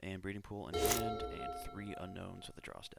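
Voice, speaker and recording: Over music in the background, the speaker mumbles at a moderate pace. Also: man. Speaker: card game player. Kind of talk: gameplay commentary. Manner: mumbling.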